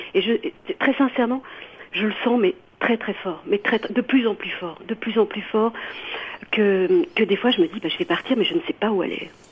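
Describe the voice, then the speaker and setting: Noticeable background noise surrounds the recording. A woman speaks with very wide pitch swings. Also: fairly high pitch for a woman, moderate pace. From France. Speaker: radio caller. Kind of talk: call-in opinion. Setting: phone call. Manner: halting.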